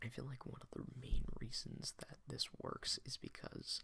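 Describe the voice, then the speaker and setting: Someone is whispering at a fairly slow pace. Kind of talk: soft-spoken ASMR video game collection talk. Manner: soft-spoken.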